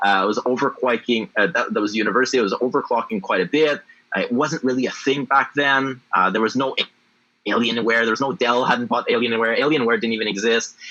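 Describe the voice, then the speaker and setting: A man's medium-pitched voice at a very fast pace, with very even loudness and ordinary pitch variation. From Canada, Ottawa (Francophone, Ontario-Quebec border). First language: French. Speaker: blockchain entrepreneur. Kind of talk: interview. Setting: livestream AMA.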